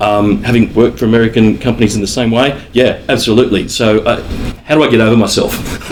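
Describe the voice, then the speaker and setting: Noticeable background noise runs under the recording. A man speaks with fairly even intonation. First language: not English. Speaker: panel moderator. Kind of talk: panel discussion. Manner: halting.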